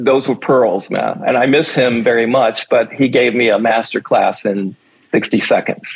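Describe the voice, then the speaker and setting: A man with an American accent and a normal speaking voice talks at a fairly slow pace with hardly any pauses, keeping a medium pitch, ordinary pitch variation, and very even loudness. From New York City (Manhattan). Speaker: dancer and choreographer. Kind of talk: interview.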